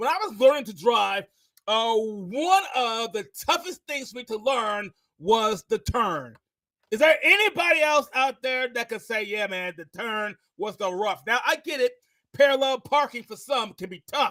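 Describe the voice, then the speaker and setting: An extremely high-pitched male voice, raised and projected, with a bright, sharp, energetic tone, lively intonation, big swings in loudness and a fairly slow pace. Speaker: podcast host. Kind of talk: podcast interview.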